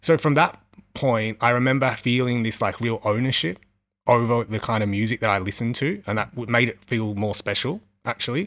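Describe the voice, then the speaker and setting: A man speaks with an Australian accent at a fairly quick pace. His medium pitch shows ordinary variation on a very clean recording with a silent background. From Western Sydney, Australia. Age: 30s. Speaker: record label founder. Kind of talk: interview. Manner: casual, filler-heavy.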